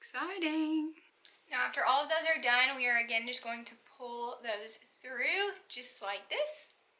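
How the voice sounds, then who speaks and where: Raising and projecting her high-pitched voice, a woman speaks at a fairly slow pace with lively intonation. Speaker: beauty vlogger. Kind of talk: tutorial. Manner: casual, chatty.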